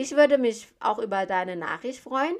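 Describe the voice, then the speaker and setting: A woman speaks at a high pitch with lively intonation. The recording is very clean, with a silent background. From Thailand. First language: Thai (speaking German). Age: 30s. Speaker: medical assistant and recruitment founder. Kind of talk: podcast monologue.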